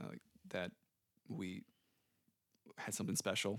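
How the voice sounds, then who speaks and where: In a dry, close sound with no echo, a man talks with an American accent. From San Antonio, Texas. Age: 20s. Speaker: church volunteer and seminary student. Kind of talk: casual interview, personal testimony.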